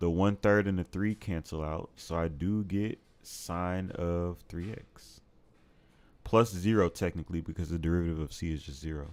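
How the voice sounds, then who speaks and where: Intonation fairly even, the recording very clean and the background silent. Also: man. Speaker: math tutor streamer. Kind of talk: live tutoring stream. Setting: livestream with chat. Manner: casual.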